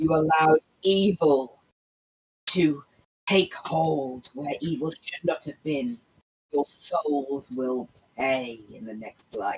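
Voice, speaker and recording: A put-on character voice at middle pitch, very slow, with long, frequent pauses. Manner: ominous.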